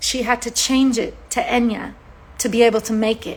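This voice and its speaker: A woman with an Irish accent speaks at a fairly high pitch and a fairly slow pace. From Ireland. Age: 40s. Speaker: singer-songwriter. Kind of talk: livestream monologue.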